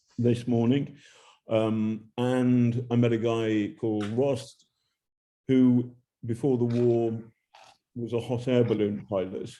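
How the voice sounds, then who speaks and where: This man has a dark, mellow tone and an English accent, at medium pitch. He talks very slowly in a monotone, flat delivery, with long, frequent pauses. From England. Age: old. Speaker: journalist. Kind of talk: interview.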